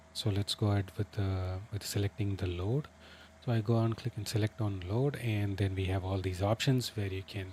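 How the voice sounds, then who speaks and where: A man with a Tamil accent speaks somewhat breathily at a moderate pace in a very clean recording with a silent background. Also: fairly low pitch for a man, fairly even intonation. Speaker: flight sim streamer. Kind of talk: live gaming stream commentary. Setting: livestream with chat. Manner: hesitant, many fillers.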